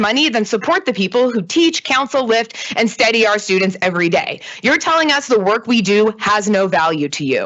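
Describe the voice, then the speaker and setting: A woman's fairly quick speech with very wide pitch swings over noticeable background noise. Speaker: public commenter, educator. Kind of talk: public comment at board meeting. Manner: fast; impassioned.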